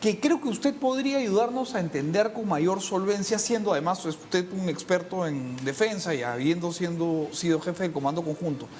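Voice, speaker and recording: Noticeable background noise sits behind the speech. The pace is moderate, with hardly any pauses. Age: 30s. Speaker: TV interviewer. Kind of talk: interview.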